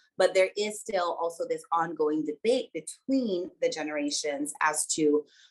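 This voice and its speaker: A woman speaks at a fairly slow pace with a Virgin Islands accent and hardly any pauses. Her pitch is fairly low, with ordinary variation. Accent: Virgin Islands Caribbean. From US Virgin Islands, Saint Croix. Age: 30s. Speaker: researcher and dancer. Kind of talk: webinar talk.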